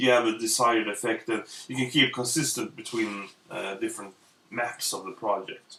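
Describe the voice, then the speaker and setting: A man's medium-pitched voice with a Swedish accent. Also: fairly even intonation, moderate pace. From Sweden. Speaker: illustrator. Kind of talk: tutorial. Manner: halting, many fillers.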